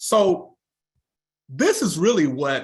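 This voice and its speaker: In a Southern US accent, a man talks with an animated tone. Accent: Southern US (Georgia). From US South, Newnan, Georgia. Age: 60s. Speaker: network marketing presenter. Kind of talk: sales pitch presentation. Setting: video call.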